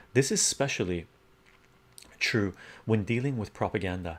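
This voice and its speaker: A soft-spoken man talks at medium pitch with lively intonation. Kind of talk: reading own article aloud.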